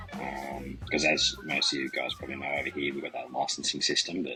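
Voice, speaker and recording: Here a man speaks with an Australian accent. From Australia, Central Coast NSW. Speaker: reptile breeder. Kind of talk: podcast interview.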